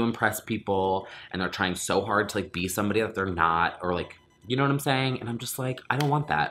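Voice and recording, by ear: The man's voice sits fairly low in pitch and carries a bright, sharp tone.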